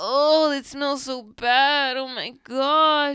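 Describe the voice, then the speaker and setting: In a put-on character voice, the speaker drags along at a very slow pace, whiny, with monotone, flat intonation. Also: woman, high pitch for a woman. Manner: whining.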